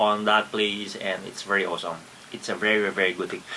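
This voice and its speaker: Noticeable background noise surrounds a man speaking with a Filipino accent. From Philippines. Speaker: travel vlogger. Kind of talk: casual vlog narration. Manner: halting, many repetitions and fillers.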